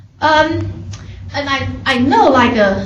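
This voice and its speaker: A woman talks over light background noise, with audible echo from the room. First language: not English. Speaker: faculty member; presenter. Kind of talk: workshop advice talk. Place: meeting room.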